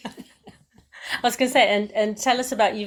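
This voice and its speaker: A woman with a plain, everyday voice talks at a moderate pace, her pitch fairly high and her intonation fairly even. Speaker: podcast host. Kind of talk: podcast interview questions.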